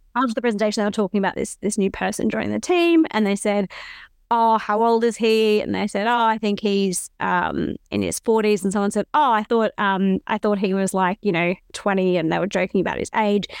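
This woman talks with an Australian accent at a medium pitch, her voice dry and close with no echo. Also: ordinary pitch variation, fairly quick pace. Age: 30s. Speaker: podcast co-host, company CEO. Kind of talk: casual chat. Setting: remote call.

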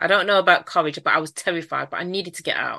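Over a quiet background, the voice carries a Manchester accent and a bright, sharp tone. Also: woman. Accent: Mancunian, northern English. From Manchester, northern England. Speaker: entrepreneur and author, abuse survivor. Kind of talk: interview, personal testimony.

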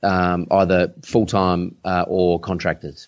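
A man speaks with an Australian accent. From Adelaide, South Australia. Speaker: online business coach. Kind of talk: casual interview.

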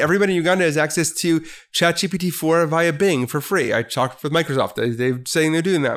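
A man with an American accent talks at a very fast pace in a fairly high pitch, with ordinary pitch variation. The recording is very clean, with a silent background. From US Midwest (Milwaukee, Wisconsin). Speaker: business professor. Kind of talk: casual interview.

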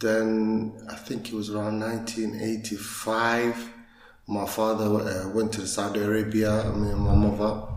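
A man's fairly low voice with audible room echo and noticeable background noise. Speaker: youth football coach and community leader. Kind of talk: interview.

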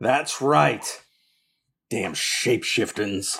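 Here a man puts on a character voice. It is raspy and sits at a medium pitch. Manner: complaining.

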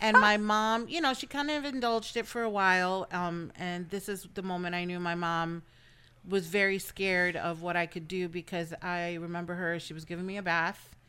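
A woman's bright, sharp voice at medium pitch, moving at a moderate pace with ordinary pitch variation. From the Bronx, New York. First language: Spanish. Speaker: pub employee. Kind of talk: casual chat.

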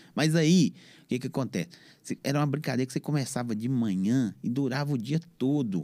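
Recorded very cleanly against a silent background, a man talks at a fairly quick pace at medium pitch, with a dark, mellow tone and ordinary pitch variation. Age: 50s. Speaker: podcaster and DJ. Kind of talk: casual interview chat.

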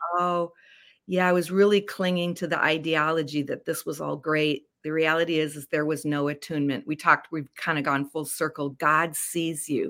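Intonation stays fairly even as a woman speaks. Her pitch is very deep and low. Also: very clean recording, silent background. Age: 60s. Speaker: life coach and author. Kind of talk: interview.

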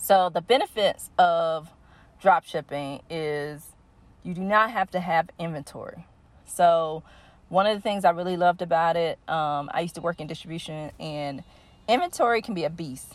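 Ordinary pitch variation runs through speech delivered at a moderate tempo. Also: woman, fairly low pitch for a woman. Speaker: online business educator. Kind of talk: tutorial. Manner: casual, hesitant with frequent fillers.

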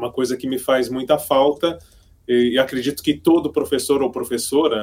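A man with a plain, everyday voice speaks at medium pitch with fairly even intonation on a very clean recording with a silent background. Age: 50s. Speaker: radio broadcaster and teacher. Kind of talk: casual chat.

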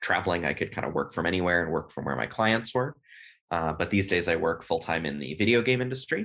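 A man with an American accent, bright, sharp tone and very wide pitch swings, over a quiet background. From US West Coast, Berkeley, California. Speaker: video game writer and designer. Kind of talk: interview.

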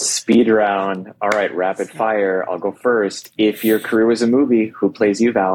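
A man talks in a plain, everyday voice at a fairly low pitch. He speaks at a fairly slow pace with fairly even intonation and hardly any pauses. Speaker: podcast host. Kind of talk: casual interview chat.

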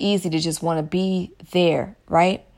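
In a very clean recording with a silent background, a woman speaks very slowly with an American accent. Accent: Southern US, picking up California. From US South. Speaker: podcast host and aromatherapy seller. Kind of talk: casual monologue. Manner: animated.

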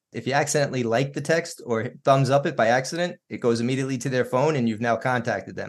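A man speaks at a fairly quick pace in a medium pitch, his intonation fairly even. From New York. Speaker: podcast host. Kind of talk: interview.

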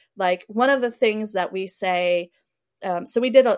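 On a very clean recording with a silent background, a plain, everyday voice carries ordinary pitch variation. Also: woman. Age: 30s. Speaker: adult film producer and community organizer. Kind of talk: casual chat.

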